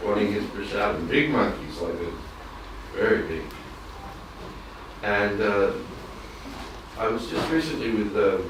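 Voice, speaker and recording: There is noticeable background noise and audible room echo as a man speaks. He goes at a fairly slow pace, with long, frequent pauses. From Australia. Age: 60s. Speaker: devotee in audience. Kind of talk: audience comment in religious class discussion. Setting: temple. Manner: halting.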